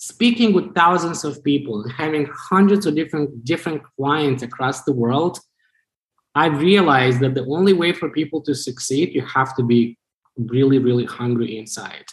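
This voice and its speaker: A man with a fairly high voice speaks at a moderate pace. His delivery is somewhat breathy, with ordinary pitch variation. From Moldova. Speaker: business coach. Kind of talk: interview.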